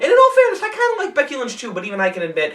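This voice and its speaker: There is noticeable background noise while the man talks with lively intonation. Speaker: wrestling commentary youtuber. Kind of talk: casual rant. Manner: fast; frantic.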